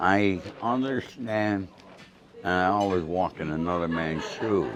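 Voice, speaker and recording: A man with an American accent and a very deep, low pitch, set against noticeable background noise. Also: ordinary pitch variation, fairly slow pace. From New York. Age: 70s. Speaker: author and former mobster. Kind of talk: casual interview. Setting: restaurant dinner.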